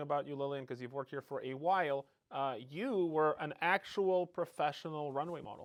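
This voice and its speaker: A man with a plain, everyday voice talks at a fairly high pitch and fairly quick pace with ordinary pitch variation, on a very clean recording with a silent background. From Canada. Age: 40s. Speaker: podcast host, company CEO. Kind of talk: podcast interview.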